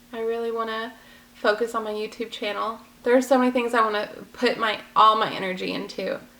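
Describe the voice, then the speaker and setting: A woman speaks at a fairly quick pace in an American accent, her intonation monotone and flat. Noticeable background noise is present. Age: 20s. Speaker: vlogger. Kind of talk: personal vlog.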